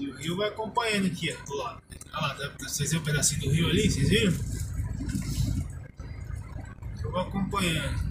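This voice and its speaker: Against loud background noise, a man speaks with long, frequent pauses. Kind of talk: casual driving vlog commentary. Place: car. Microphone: phone near.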